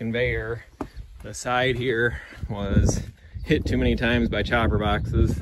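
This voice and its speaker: The speech comes at a fairly slow pace, the sound dry with no echo, over loud background noise. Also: man. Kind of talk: casual tutorial walkthrough. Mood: relaxed, matter-of-fact. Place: farm machine. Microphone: phone near.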